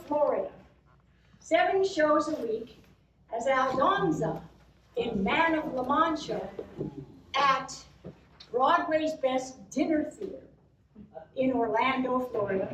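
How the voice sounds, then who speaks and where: A woman's high-pitched voice with lively intonation, at a very slow pace with long, frequent pauses, amid audible room echo and noticeable background noise. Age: 70s. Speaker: cabaret performer and actress. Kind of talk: storytelling stage show.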